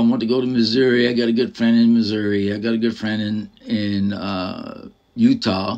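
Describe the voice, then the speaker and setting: Male speech, moderately paced, over a quiet backdrop. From US. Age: 60s. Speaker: vlogger, retired military veteran and former photographer. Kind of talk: casual vlog monologue. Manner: halting, filler-heavy. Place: home room. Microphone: phone near.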